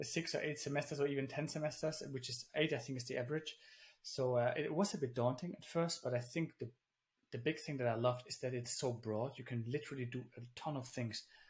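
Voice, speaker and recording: A man talks very fast in a medium-pitched, somewhat breathy voice with ordinary pitch variation. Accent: German. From Germany. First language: German. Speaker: engineer and founder. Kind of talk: interview conversation.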